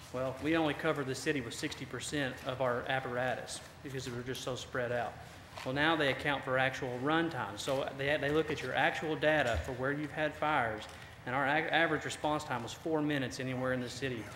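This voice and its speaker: Speaking in a Southern US accent, a man at medium pitch talks at a fairly quick pace with fairly even intonation, with audible room echo and noticeable background noise. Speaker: fire department officer. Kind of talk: presentation to city council. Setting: council meeting. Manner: fast.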